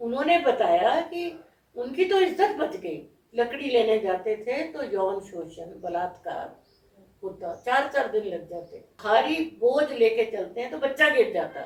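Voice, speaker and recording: A woman's high voice swings very widely in pitch and makes big swings in loudness. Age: 70s. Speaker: social worker and environmental activist. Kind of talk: interview.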